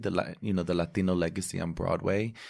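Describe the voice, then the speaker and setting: A man's fairly low, plain, everyday voice, fairly quick pace and ordinary pitch variation, on a very clean recording with a silent background. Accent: American. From New Jersey. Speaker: Broadway actor. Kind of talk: casual chat.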